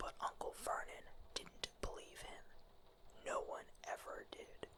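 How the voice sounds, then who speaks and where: Someone whispers at a very slow pace. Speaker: ASMR storyteller. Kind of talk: bedtime story reading. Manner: soft-spoken.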